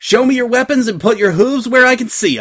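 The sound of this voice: In a put-on character voice, a man talks at a fairly quick pace and an extremely high pitch, with big pitch swings and a fairly bright tone.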